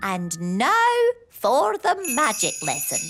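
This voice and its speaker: A cartoonish character voice at a fairly slow pace, with faint music in the background. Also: female-sounding voice, high pitch for a woman. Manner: stern, brisk.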